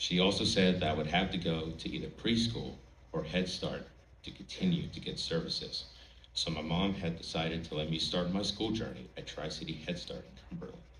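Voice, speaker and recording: A man talks at a fairly quick pace in a very deep, low pitch with ordinary pitch variation. Room echo is audible, along with noticeable background noise. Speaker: college student, speech contestant. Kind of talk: prepared speech. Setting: stage with audience.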